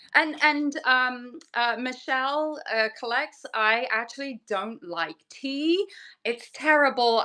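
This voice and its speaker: A woman's raised, projected voice, high-pitched and bright with a sharp tone, at a fairly slow pace with a strong English accent over a quiet background. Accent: English accent, still strong. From southern England. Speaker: fabric designer and online seller. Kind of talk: casual chat.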